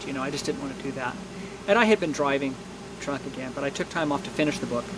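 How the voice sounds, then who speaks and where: Noticeable background noise surrounds a man's voice. His pitch is fairly high, with ordinary pitch variation. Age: 60s. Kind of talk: testimony. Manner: halting.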